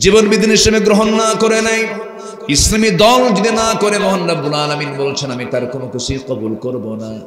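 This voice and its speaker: A man with a high-pitched voice swings very widely in pitch over noticeable background noise. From Dhaka, Bangladesh. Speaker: Islamic preacher. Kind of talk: Islamic sermon (waz) to a public gathering. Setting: outdoor religious gathering with microphone. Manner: emphatic, rhetorical, call-and-response with audience.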